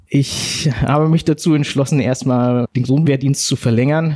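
Noticeable background noise behind a man at medium pitch, his ordinary pitch variation heard in a dry, close sound with no echo. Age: 40s. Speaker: soldier and war veteran. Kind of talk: personal testimony interview. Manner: halting.

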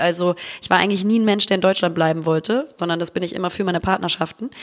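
There is noticeable background noise behind this woman. She talks at a very fast pace in an animated tone. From Hamburg, northern Germany. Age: 30s. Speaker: content creator and podcaster. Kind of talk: casual chat.

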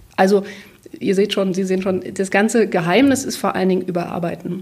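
Over noticeable background noise, a woman speaks at a medium pitch. Her pace is fairly quick and her intonation fairly even. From former East Germany. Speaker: literary translator. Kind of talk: interview.

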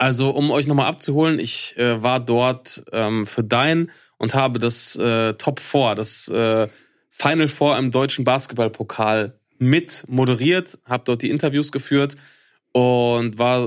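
On a very clean recording with a silent background, a man with an unremarkable speaking voice talks at a medium pitch with ordinary pitch variation and very even loudness. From Ruhr area, Germany (Hattingen), later eastern Westphalia. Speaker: podcast co-host. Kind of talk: casual chat.

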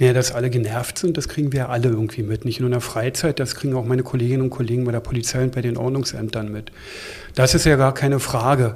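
Very fast speech in a monotone, flat intonation. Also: man, medium pitch for a man. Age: 50s. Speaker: police union leader and police officer. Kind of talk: interview. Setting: in a room at a newspaper office. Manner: hesitant with frequent fillers.

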